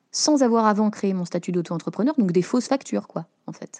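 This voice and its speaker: Over a quiet background, a woman speaks at a fairly quick pace in a dark, mellow tone. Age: 30s. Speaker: freelance journalist. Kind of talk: interview testimony. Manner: talkative, lively.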